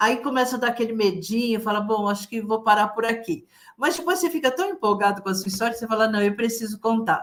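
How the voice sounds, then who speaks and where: At a very fast pace, a woman speaks in a fairly high pitch with ordinary pitch variation. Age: 70s. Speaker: retired accountant, author. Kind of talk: interview answer.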